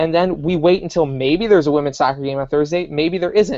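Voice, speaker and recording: A man's fairly high voice with a dark, mellow tone, ordinary pitch variation, and a dry, close sound with no echo. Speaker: sports talk show co-host. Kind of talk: casual chat. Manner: expressive.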